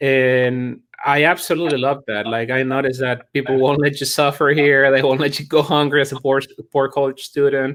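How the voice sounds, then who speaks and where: A man's fairly high voice with a Chilean accent, flat and monotone, on a very clean recording with a silent background. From Chile, Santiago. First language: Spanish. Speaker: chiropractor and college admissions staff. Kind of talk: interview. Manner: halting, with many repetitions.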